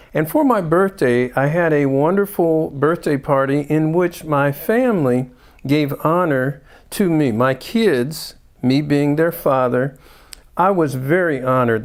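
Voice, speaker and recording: In a very clean recording with a silent background, a man with a normal speaking voice talks at a fairly slow pace, his pitch fairly high with ordinary variation and his loudness very even. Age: 60s. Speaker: doctor and health show host. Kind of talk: show introduction.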